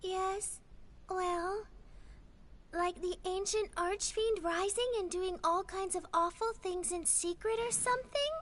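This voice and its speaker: Over clear background noise, a woman uses a put-on character voice at an extremely high pitch and a fairly slow pace. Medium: video game. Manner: dreamy, offbeat.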